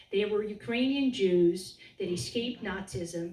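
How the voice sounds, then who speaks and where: Against noticeable background noise, a woman with a Serbian accent speaks at a moderate pace and medium pitch with lively intonation. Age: 50s. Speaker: political candidate. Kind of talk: campaign speech. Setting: meeting in a private home.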